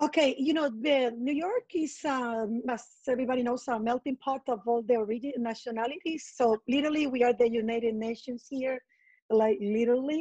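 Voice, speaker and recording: A woman with a Colombian accent and a high pitch, a dark, mellow tone, fairly even intonation and a fairly quick pace, in a dry, close sound with no echo against a quiet background. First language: Spanish. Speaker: estate manager. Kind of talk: interview.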